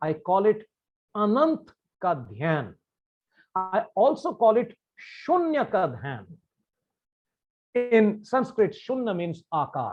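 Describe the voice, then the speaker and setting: A man's high-pitched voice with a Bengali accent, very slow pace, very wide pitch swings and long, frequent pauses over a quiet background. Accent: Indian English, Bengali. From India, Bengal. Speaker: meditation practitioner sharing his views. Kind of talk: talk to camera on meditation. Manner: formal.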